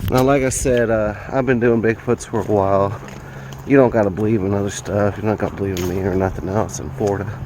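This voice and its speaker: Over noticeable background noise, a man with a slight Southern US accent talks at a moderate pace, his fairly low voice carrying lively intonation. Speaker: amateur bigfoot researcher. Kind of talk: outdoor walkthrough video. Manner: casual, hesitant with fillers.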